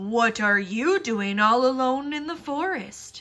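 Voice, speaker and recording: A cartoonish character voice, female-sounding and high-pitched, at a fairly slow pace. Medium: puppet show. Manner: sly, falsely sweet.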